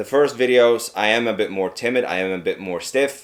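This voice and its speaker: A man speaks with a Swedish accent. His pace is fairly slow. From Sweden. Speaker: video creator trainee. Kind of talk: vlog to camera. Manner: talkative.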